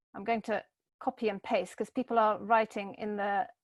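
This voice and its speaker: A moderate pace in a dry, close sound with no echo over a quiet background. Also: woman. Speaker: webinar host. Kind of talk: online workshop facilitation.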